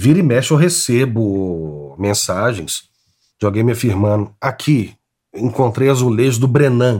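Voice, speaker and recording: A man uses a normal speaking voice with lively intonation. The recording is very clean, with a silent background. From Brazil, Belo Horizonte (Minas Gerais). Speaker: tile artist. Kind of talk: interview.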